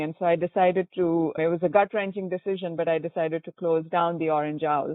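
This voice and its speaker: In a Goan accent, a woman talks at a fairly quick pace with a fairly low pitch and a monotone, flat intonation. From India, Bangalore. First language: Konkani. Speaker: entrepreneur. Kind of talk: interview.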